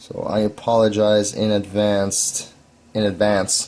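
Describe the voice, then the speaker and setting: A man speaks here. His pitch sits fairly low. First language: not English. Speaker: vaping hobbyist video maker. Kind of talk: tutorial. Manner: halting, with repeated words; casual.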